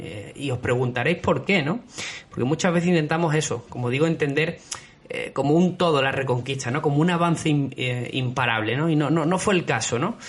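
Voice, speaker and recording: Noticeable background noise accompanies this man. He speaks with an Andalusian accent at a fairly high pitch. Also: ordinary pitch variation, fairly quick pace. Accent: Andalusian (Málaga). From southern Spain, Málaga. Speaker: history podcast host. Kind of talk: history podcast narration. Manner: hesitant, many fillers.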